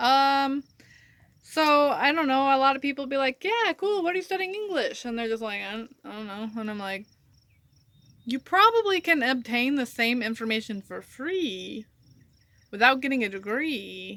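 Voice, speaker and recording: The voice is raised and projected, with big swings in loudness. Pitch swings very widely at a moderate pace. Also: woman. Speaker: writer. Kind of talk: casual talk to camera. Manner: ranting, conversational.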